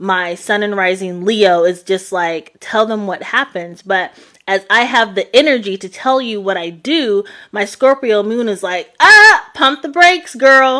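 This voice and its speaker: A woman speaks fairly slowly in a bright, sharp tone. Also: fairly high pitch for a woman, lively intonation. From New York or New Jersey. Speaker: psychic tarot reader. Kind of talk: live stream chat. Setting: live stream replay. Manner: halting, many fillers.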